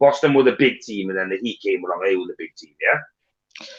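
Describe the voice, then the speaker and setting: With a Nottingham accent, a man speaks at a fairly quick pace. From England, East Midlands (Nottingham). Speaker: panel participant in live stream. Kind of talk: casual chat.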